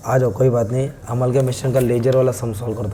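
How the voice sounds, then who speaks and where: A man does a put-on character voice, hoarse and raspy at a medium pitch. He talks very fast in a monotone, flat intonation over clear background noise. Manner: teacherly, friendly.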